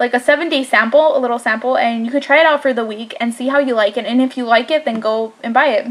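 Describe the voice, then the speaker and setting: Very fast speech with hardly any pauses and fairly even intonation, over noticeable background noise. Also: woman, high pitch for a woman. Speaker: beauty vlogger. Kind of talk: product review. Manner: hesitant, filler-heavy; slight slurring.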